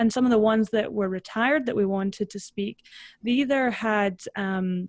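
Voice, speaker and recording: A Scottish accent at a moderate pace, fairly even intonation, dry, close sound with no echo, and a very clean recording with a silent background. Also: woman, fairly high pitch for a woman. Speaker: personal branding consultant. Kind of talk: interview.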